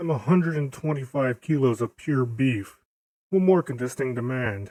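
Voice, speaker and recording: A man's put-on character voice at medium pitch and moderate pace. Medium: read story. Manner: blunt, sarcastic.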